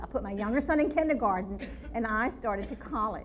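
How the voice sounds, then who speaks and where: A woman's lively intonation carries through audible room echo. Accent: North Louisiana. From North Louisiana (Shreveport area). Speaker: forensic anthropologist. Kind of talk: public lecture. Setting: ballroom with live audience. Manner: animated.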